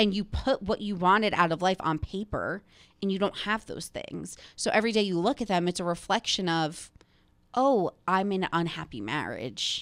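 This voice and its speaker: A woman with vocal fry speaks at a moderate pace with ordinary pitch variation. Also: quiet background. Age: 30s. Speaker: podcast host. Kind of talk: casual chat. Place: studio. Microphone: studio mic.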